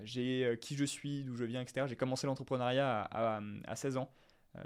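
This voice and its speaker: At a fairly quick pace, a man talks at a medium pitch with fairly even intonation. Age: 20s. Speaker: entrepreneur, business content creator. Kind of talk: solo podcast monologue. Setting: alone in front of camera. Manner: hesitant, many fillers; casual, unscripted.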